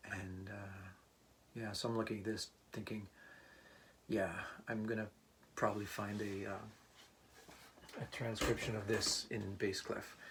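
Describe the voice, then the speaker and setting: Soft-spoken and fairly low in pitch, a man talks at a fairly slow pace with monotone, flat intonation and long, frequent pauses. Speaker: part-time musician and teacher. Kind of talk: casual vlog talk. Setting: home room, not a studio. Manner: halting.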